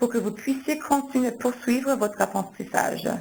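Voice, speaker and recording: Somewhat breathy woman's voice with ordinary pitch variation. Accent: anglophone Quebec. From Quebec, Canada. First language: English (speaking French). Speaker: marketing manager, webinar host. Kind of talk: webinar introduction.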